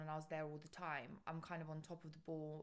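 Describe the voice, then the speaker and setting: Someone talks at a very fast pace in a London accent. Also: woman. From London, England (moved from Bulgaria at five). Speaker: business founder and CEO. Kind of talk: podcast interview.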